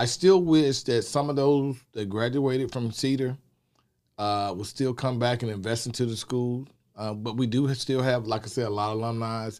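A man with a medium pitch speaks in a Southern US accent. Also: ordinary pitch variation, moderate pace. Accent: Southern US (Georgia). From Athens, Georgia, US South. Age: 50s. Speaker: community outreach worker, school alumnus. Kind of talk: interview.

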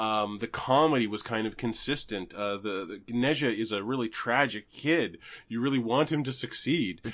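Over a quiet background, a man with a Canadian accent speaks at a moderate pace and medium pitch, with ordinary pitch variation and a plain, everyday voice. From Canada. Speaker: podcast host. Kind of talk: casual chat.

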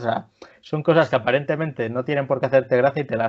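Speaking at a fairly quick pace, a man with a plain, everyday voice keeps a medium pitch and ordinary pitch variation. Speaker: podcast host. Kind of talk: casual chat.

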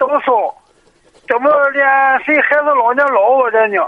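With an extremely high pitch, a man speaks at a fairly slow pace and keeps his intonation fairly even. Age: 40s. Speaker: caller, small business owner. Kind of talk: phone-in advice call. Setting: phone call. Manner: halting.

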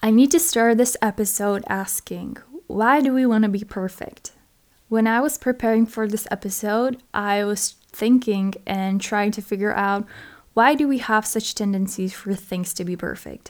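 Using a non-native accent, a woman speaks at a moderate pace with a fairly high pitch and ordinary pitch variation. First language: not English. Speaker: podcast host. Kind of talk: solo podcast monologue.

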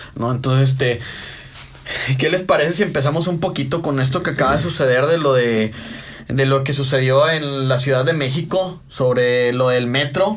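The speaker talks at a moderate pace with ordinary pitch variation. Audible room echo and noticeable background noise fill the recording. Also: man, fairly high pitch for a man. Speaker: podcast host. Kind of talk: casual chat. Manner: animated.

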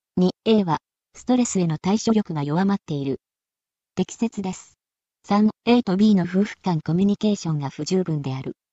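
Somewhat breathy, a woman talks at a fairly slow pace with ordinary pitch variation. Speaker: exam question narrator. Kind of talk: reading aloud.

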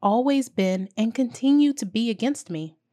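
Speaking with an American accent, a woman uses an ordinary speaking voice at fairly high pitch, fairly slow pace and lively intonation. The recording is very clean, with a silent background, and the sound is dry and close with no echo. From US South, small-town South Carolina. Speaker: podcast host. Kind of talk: scripted monologue, motivational reflection.

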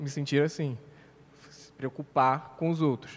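At a moderate pace, a man talks in a fairly high pitch with a plain, everyday voice. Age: 20s. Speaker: civil engineer, church member. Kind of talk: casual religious discussion podcast.

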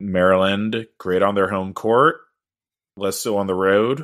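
The background is silent and the recording very clean as a man talks in a fairly low pitch. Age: 30s. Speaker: basketball podcast host. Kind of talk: casual chat.

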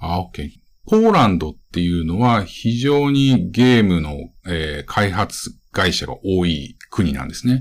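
Very deep and low in pitch, a man with a Japanese accent talks at a moderate pace with lively intonation, recorded very cleanly against a silent background. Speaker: podcast host and gaming video creator. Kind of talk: casual podcast narration in Japanese; interview.

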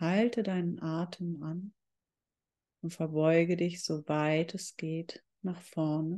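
The woman's voice has a dark, mellow tone at a fairly low pitch. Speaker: meditation guide. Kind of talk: guided meditation. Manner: slow, calm, soothing; sparse, with long pauses between short cues.

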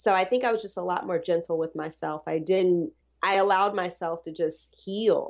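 A woman with an American accent talks at a moderate pace in an unremarkable speaking voice at medium pitch. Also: fairly even intonation. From US South. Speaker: postpartum doula. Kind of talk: casual chat.

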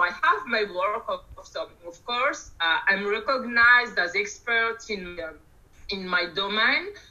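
A woman speaks very slowly with a fairly high pitch and lively intonation over noticeable background noise. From Madagascar. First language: Malagasy or French. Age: 40s. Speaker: CRM consultant. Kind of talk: interview. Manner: halting, many repetitions.

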